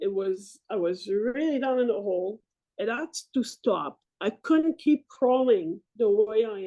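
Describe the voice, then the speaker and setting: A woman with a strong French-Canadian accent, a dark, mellow tone, fairly high pitch and a fairly slow pace. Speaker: military veteran and Paralympic athlete. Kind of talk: interview testimony. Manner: halting.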